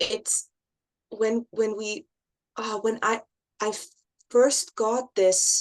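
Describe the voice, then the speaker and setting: A woman with a non-native accent speaks at a very slow pace, with long, frequent pauses and a fairly high pitch of ordinary variation. The sound is dry and close, with no echo. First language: not English. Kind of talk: casual conversation. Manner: halting, many restarts.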